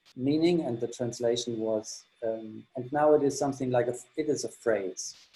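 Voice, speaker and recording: With a German accent, a man speaks at a moderate pace in a medium-pitched, dark, mellow voice that shows ordinary pitch variation. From Germany. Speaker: exhibition tour guide. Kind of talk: guided tour. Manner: halting, many fillers.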